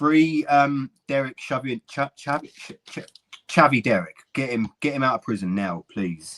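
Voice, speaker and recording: This speaker talks with a British accent. The delivery is on the slow side. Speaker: streamer. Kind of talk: casual chat. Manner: loud.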